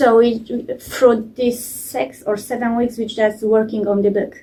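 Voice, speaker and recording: This woman speaks with a Polish accent. Her pace is fairly slow. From Poland. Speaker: programme participant, parent. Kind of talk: testimony. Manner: halting.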